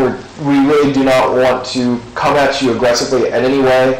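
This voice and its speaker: A man speaks at a moderate pace amid light background noise and audible room echo. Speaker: ghost hunter. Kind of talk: addressing spirits during a ghost hunt. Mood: calm, reassuring. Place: church. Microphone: camera far.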